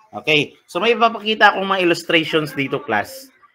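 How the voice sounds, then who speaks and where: Speaking at a fairly quick pace, a man's voice moves through very wide pitch swings. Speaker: teacher. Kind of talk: lecture. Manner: loud.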